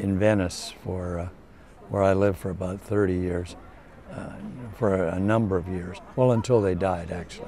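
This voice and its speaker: Intonation stays monotone and flat at a moderate pace. There is audible room echo. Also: man, very deep, low pitch for a man. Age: 80s+. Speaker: songwriter. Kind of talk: interview. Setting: informal interview with wine. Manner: halting.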